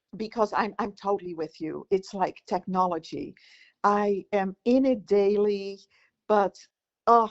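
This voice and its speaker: Speaking fairly slowly, a woman talks in a Dutch accent. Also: medium pitch for a woman, ordinary pitch variation. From Netherlands. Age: 60s. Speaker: podcast co-host. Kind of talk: casual chat.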